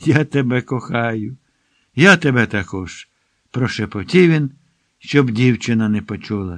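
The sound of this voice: The background is kept quiet. There is an unforced reading voice, its pitch varying in an ordinary way.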